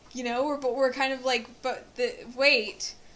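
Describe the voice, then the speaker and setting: This woman speaks with a high pitch. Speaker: podcast co-host. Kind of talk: casual chat.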